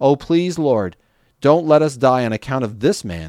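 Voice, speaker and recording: With a plain, everyday voice, a man speaks at a moderate pace and with lively intonation, recorded dry and close with no echo. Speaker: podcast host reading the Bible. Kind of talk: scripture reading aloud, steady and reverent. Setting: podcast recording. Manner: measured, clear, even-paced narration.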